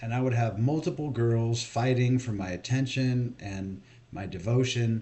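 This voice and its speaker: A man speaks at a fairly slow pace and medium pitch with ordinary pitch variation. It is a normal speaking voice. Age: 40s. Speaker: video blogger. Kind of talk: monologue rant. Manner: casual.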